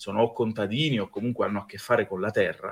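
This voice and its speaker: Very fast, somewhat breathy male speech. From Abruzzo, Italy. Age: 30s. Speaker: pastry chef and fantasy event creator. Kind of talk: podcast interview.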